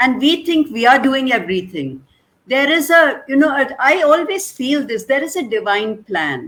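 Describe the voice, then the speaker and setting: With lively intonation, a woman talks at a moderate pace in a high pitch. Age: 70s. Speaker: schoolteacher. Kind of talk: panel chat show interview.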